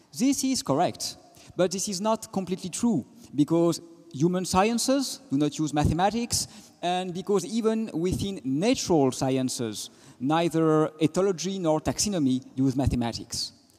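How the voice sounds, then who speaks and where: In a French accent, a man with a dark, mellow tone speaks at a high pitch with very wide pitch swings. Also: moderate pace. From France. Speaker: physicist and philosopher. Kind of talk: panel talk.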